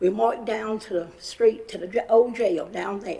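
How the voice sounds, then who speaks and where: In a western North Carolina accent, a woman with a fairly high pitch speaks at a moderate pace. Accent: Southern US (western North Carolina). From US South. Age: 80s+. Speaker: public commenter. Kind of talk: public comment testimony. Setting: county commission meeting.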